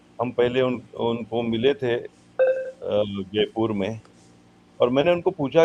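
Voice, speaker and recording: Music plays behind a man as he speaks. His pitch is medium. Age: 70s. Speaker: businessman, festival speaker. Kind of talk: speech at literary festival. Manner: hesitant, many filler pauses.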